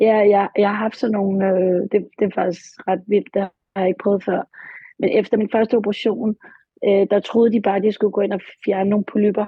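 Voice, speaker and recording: In a monotone, flat intonation, a woman talks at a medium pitch. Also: moderate pace. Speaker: client in therapy session. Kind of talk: therapy session. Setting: studio. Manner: halting.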